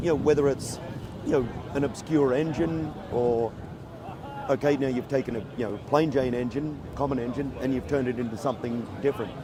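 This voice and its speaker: Fairly quick, medium-pitched male speech with long, frequent pauses and fairly even intonation, over noticeable background noise. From Australia. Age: 60s. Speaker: motorcycle builder and show judge. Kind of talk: casual interview.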